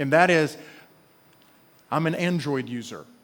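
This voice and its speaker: Speaking at a fairly quick pace, a man uses a high pitch with ordinary pitch variation. He talks in an Alabama accent. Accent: Southern US (Alabama). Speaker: pastor. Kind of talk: sermon. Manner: animated storytelling.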